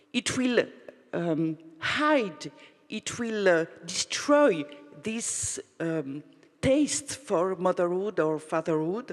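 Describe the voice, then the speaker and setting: With a non-native accent, a woman speaks at a medium pitch and a very slow pace. Her pitch swings very widely, and she leaves long, frequent pauses. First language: not English. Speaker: audience member asking a question. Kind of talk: audience question. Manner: halting.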